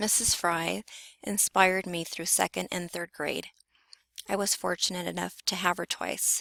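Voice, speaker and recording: A woman speaks at a moderate pace with a fairly low pitch and vocal fry. Her tone is bright and sharp, her intonation fairly even, and the sound is dry and close with no echo. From Southern California (Carson, near Compton). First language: Spanish. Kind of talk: personal narrative presentation.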